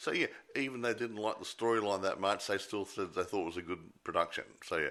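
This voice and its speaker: Talking at a fairly quick pace, a man with an Australian accent is heard in a very clean recording with a silent background. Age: 60s. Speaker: film review podcast co-host. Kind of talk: casual chat. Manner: halting.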